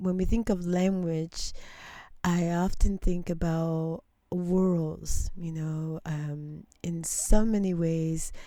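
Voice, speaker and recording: In a very clean recording with a silent background, a woman with a dark, mellow tone speaks very slowly at a fairly low pitch. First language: not English. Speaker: radio host. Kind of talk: interview. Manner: halting.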